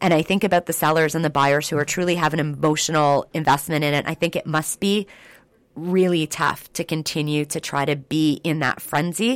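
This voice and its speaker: In a very clean recording with a silent background, a woman with a Canadian accent speaks fairly quickly in a very deep, low voice with fairly even intonation. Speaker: radio co-host and kitchen business owner. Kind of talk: casual chat.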